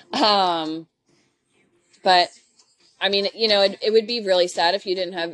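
Speaking with an American accent, the woman keeps her intonation fairly even at a medium pitch. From Philadelphia, US. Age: 30s. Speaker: veterinary technician. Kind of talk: interview. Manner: hesitant, many fillers.

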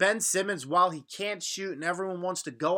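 A bright, sharp voice with an American accent at a moderate pace, on a very clean recording with a silent background. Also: man. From Long Island, New York. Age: 20s. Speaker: sports podcast host. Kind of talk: solo sports commentary podcast. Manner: casual, conversational.

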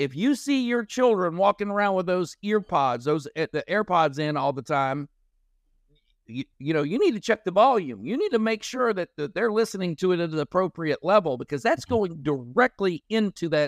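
A man's high-pitched voice with very wide pitch swings, at a moderate pace, dry and close with no echo, over a quiet background. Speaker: sound therapy company founder, army veteran. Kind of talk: casual interview chat. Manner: loud.

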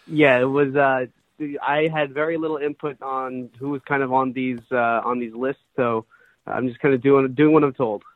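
This man has an American accent and speaks at a fairly slow pace. His intonation is monotone and flat. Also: medium pitch for a man. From Massachusetts, Brookline (Boston area). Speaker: sports writer. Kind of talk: interview.

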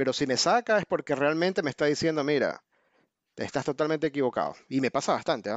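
Very fast delivery with very even loudness and ordinary pitch variation. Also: man, fairly high pitch for a man. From Ecuador. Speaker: options trader, army veteran. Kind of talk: interview.

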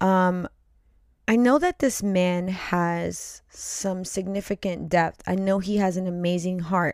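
A woman speaks very slowly at a medium pitch with fairly even intonation. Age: 40s. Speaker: podcast co-host. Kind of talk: casual chat.

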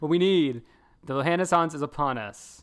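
A man talks in a high pitch with an American accent. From US South. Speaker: podcast co-host. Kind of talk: casual chat. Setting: video call.

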